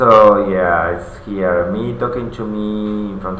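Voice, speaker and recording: A fairly slow man with a non-native accent and fairly even intonation, amid audible room echo and noticeable background noise. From non-English-speaking country. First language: not English. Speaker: vlogger. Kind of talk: personal video diary monologue. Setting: alone in front of a camera. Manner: halting, many fillers.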